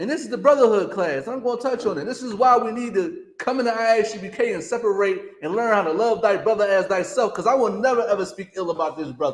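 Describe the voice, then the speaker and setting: A loud, high-pitched man at a very fast pace, with lively intonation and hardly any pauses. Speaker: religious class teacher. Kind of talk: sermon. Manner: high-pitched yelling.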